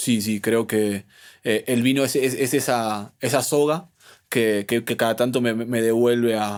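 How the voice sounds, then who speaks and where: In a very clean recording with a silent background, a man of medium pitch speaks at a fairly slow pace with fairly even intonation and very even loudness. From Argentina, Buenos Aires. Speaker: sommelier. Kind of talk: interview conversation. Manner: halting, many repetitions and fillers.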